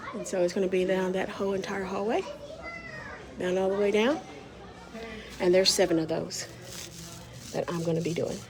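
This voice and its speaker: Medium-pitched woman at a fairly quick pace, fairly even intonation and long, frequent pauses, with audible room echo and noticeable background noise. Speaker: muralist. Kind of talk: casual vlog narration. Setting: school hallway.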